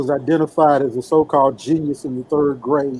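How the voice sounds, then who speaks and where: An American accent with fairly even intonation over noticeable background noise. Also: man. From St. Louis, Missouri. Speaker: lawyer. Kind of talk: interview.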